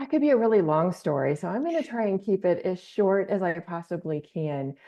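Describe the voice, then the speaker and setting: A woman talks at a moderate pace. She has an unremarkable speaking voice. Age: 60s. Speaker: wellness practitioner. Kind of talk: interview podcast.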